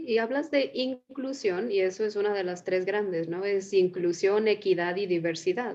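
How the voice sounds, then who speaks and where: A woman speaks at a medium pitch and a moderate pace, with hardly any pauses and ordinary pitch variation. She has a normal speaking voice. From Mexico. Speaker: psychotherapist, series host. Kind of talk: casual conversation.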